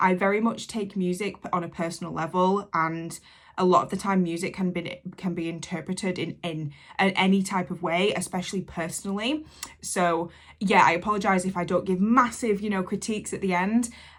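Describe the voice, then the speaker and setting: A woman with an English accent speaks at a fairly quick pace. Her pitch is medium and her intonation fairly even. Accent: broad English. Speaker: reaction youtuber. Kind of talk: reaction video commentary. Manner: casual, hesitant with fillers.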